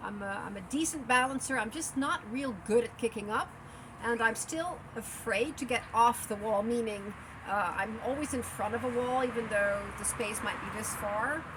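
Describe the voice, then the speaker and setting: A woman at a moderate pace, fairly high in pitch, with ordinary pitch variation and noticeable background noise. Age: 60s. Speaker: yoga and handstand practitioner, travel vlogger. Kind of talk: casual interview. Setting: cafe. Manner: halting, many fillers.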